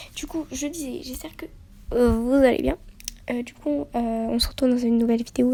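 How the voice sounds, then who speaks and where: Soft-spoken and high-pitched, a woman talks at a fairly quick pace with ordinary pitch variation and big swings in loudness. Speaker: youtuber. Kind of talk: casual vlog intro.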